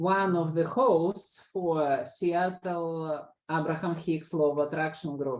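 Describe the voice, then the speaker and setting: A woman with a non-native accent speaks at a very slow pace in a fairly low pitch with fairly even intonation. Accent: foreign. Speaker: law of attraction group host. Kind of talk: casual group discussion.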